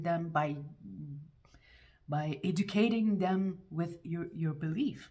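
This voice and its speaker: A woman with a fairly low pitch and ordinary pitch variation. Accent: French. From France. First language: French. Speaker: YouTuber. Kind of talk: casual monologue vlog. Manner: halting, with repetitions and restarts; animated.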